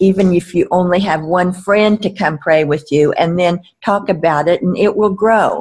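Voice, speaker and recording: This woman's voice sits at medium pitch, somewhat breathy, with ordinary pitch variation. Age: 80s. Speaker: prayer ministry leader and author. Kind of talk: interview, conversational. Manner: conversational, hesitant with fillers.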